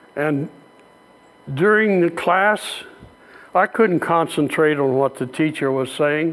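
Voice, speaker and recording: Someone talks at a fairly slow pace with an American accent. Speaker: lay preacher, church member. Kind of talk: sermon. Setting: church. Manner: warm, self-deprecating with frequent laughter.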